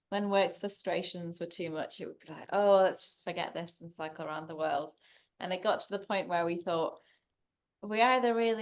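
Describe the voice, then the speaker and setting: This woman speaks with an English accent. Her pitch is medium, with ordinary pitch variation. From England. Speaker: long-distance cycle tourist. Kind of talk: casual chat. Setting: video call.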